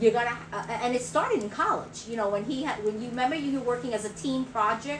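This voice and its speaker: Amid audible room echo, a woman with an American accent speaks at a fairly high pitch with lively intonation. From New York City, Brooklyn. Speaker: livestream co-host, retiree. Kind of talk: casual livestream chat. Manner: halting, many repetitions.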